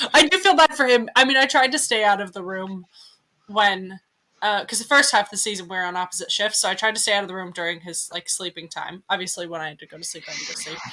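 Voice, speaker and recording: Talking very fast, a woman uses a bright, sharp tone, lively intonation and big swings in loudness. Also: medium pitch for a woman. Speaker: podcast co-host, Antarctica worker. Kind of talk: casual chat.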